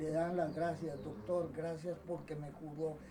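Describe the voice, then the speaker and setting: A man's voice carries audible room echo. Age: 70s. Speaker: doctor, surgeon. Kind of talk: autobiographical recollection. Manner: halting, with many repetitions.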